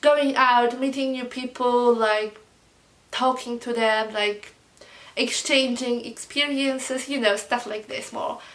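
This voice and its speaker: A woman with a non-native accent and a high pitch speaks at a fairly slow pace with fairly even intonation over noticeable background noise. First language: not English. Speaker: vlogger. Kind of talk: storytime vlog. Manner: hesitant, many fillers.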